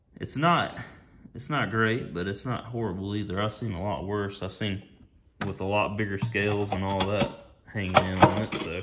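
Amid noticeable background noise, a man speaks at a moderate pace and fairly low pitch with fairly even intonation. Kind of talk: casual vlog chat. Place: garage. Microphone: phone near.

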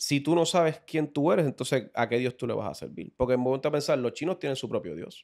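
Over a quiet background, a man with a fairly high pitch talks at a very fast pace with hardly any pauses, ordinary pitch variation and vocal fry. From Puerto Rico, Carolina. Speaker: religious teacher in podcast discussion. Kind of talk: casual religious discussion. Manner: halting, many repeated words. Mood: earnest, preaching tone. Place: studio. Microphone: studio mic.

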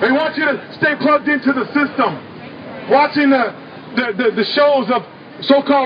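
A man's extremely high-pitched voice at a fairly quick pace, over noticeable background noise. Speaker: street activist speaker. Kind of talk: impassioned protest speech to a crowd, angry rant. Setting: outdoors at a protest rally in a city. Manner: fiery, pounding, urgent, rising in anger; rallying, preacher-like, call-and-response cadence.

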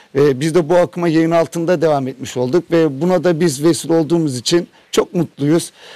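A high-pitched man's voice with a dark, mellow tone, a fairly quick pace, and a dry sound with no echo. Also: quiet background. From Turkey. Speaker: coal miner. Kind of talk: interview. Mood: happy, proud. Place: tunnel cave. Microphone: handheld.

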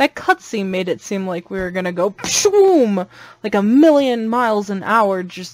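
Lively intonation from an unforced reading voice

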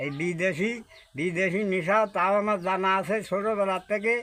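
This is a man talking. His pitch is high. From Bangladesh, Narail district. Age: 80s+. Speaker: farmer. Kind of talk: casual interview.

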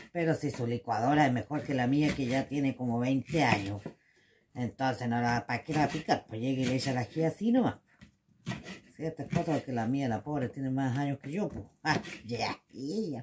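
A woman speaks at a moderate pace with a very deep, low pitch and ordinary pitch variation over noticeable background noise. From Chile. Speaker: home cooking video host. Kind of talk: cooking tutorial. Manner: casual, chatty. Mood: chatty, joking. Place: kitchen. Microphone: phone near.

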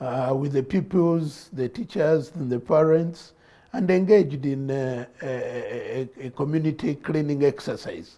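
Over a quiet background, a man speaks at a fairly slow pace. His voice is fairly high with a dark, mellow tone and ordinary pitch variation. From Uganda. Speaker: politician. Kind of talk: studio interview. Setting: studio. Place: studio. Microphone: lapel.

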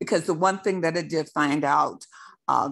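With vocal fry and ordinary pitch variation, a woman talks at a moderate pace in a quiet background. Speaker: audience member asking questions; audience member. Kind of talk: Q&A question. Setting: video call. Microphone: video call.

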